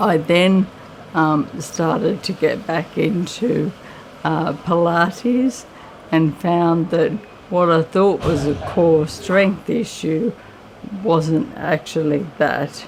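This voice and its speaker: With an Australian accent, a woman speaks very slowly in a fairly low voice against noticeable background noise. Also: ordinary pitch variation. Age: 50s. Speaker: person living with motor neurone disease. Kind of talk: testimony.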